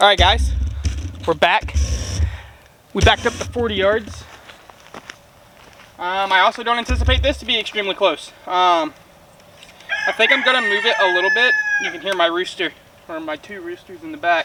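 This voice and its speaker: Over noticeable background noise, a man with a high pitch uses a raised, projected voice at a fairly quick pace, with ordinary pitch variation, big swings in loudness and long, frequent pauses. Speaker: bowhunting YouTuber. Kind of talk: casual product review while shooting. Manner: loud, yelling a little for the camera.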